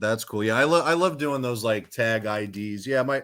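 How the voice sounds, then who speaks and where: A man with a New York accent talks at a moderate pace in a fairly low pitch, with ordinary pitch variation, on a very clean recording with a silent background. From New York City (Queens). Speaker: rock singer. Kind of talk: casual chat.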